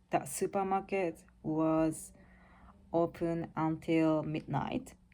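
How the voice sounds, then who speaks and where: A woman with a Japanese accent speaks at a very deep, low pitch. Her tone is dark and mellow, her intonation fairly even. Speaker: vlogger. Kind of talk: casual monologue. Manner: halting.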